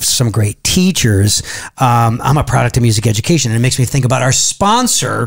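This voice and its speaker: Behind the voice, things stay quiet. Delivery is at a moderate pace. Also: man. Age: 40s. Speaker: podcast host and drummer; podcast host. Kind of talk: casual chat. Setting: studio. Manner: animated. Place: studio. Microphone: studio mic.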